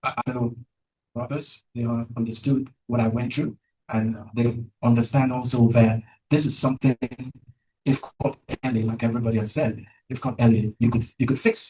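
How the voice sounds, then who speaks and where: A man's dark, mellow, somewhat breathy voice at medium pitch, moderate in pace with long, frequent pauses. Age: 70s. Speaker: prostate cancer survivor. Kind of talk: interview. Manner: animated.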